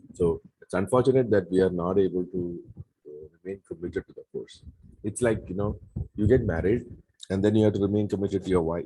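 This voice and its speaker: At a very fast pace, a man speaks with a very deep, low pitch, a dark, mellow tone, a somewhat breathy quality, and ordinary pitch variation. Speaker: Bible course teacher. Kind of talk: lecture. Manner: halting.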